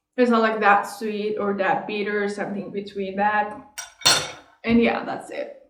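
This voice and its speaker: A woman speaks at a fairly slow pace with a Persian accent, her intonation monotone and flat, with audible echo in the room. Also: medium pitch for a woman. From Iran. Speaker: vlogger. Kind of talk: casual chat. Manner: halting.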